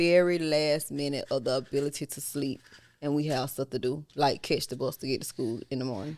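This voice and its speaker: With a Southern US accent and an animated tone, a woman speaks at a moderate pace on a very clean recording with a silent background. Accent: Southern country dialect. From US South. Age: 40s. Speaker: podcast host, mother. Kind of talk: casual chat.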